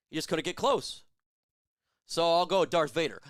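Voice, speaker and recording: This man talks at a moderate pace in an animated tone, his pitch fairly high. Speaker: sports live-stream host. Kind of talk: live game stream chat. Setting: home studio with lights.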